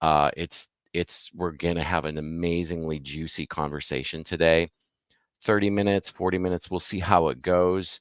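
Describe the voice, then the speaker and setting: Very deep and low in pitch, a man talks at a moderate pace with fairly even intonation, in a dry, close sound with no echo on a very clean recording with a silent background. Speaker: spiritual mentor and livestream host. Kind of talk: live-streamed interview. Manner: radio announcer style.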